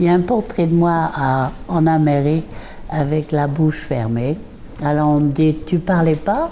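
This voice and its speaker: This woman's very deep, low voice unfolds at a very slow pace. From southern France and England. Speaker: artist and former painter's model. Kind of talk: reminiscing testimony. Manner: halting, with many hesitations.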